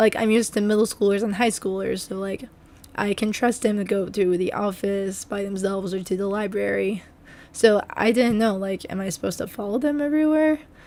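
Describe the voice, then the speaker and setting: Soft-spoken and medium in pitch, a woman talks at a fairly quick pace. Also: ordinary pitch variation. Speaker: substitute teacher and gaming youtuber. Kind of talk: story time voiceover.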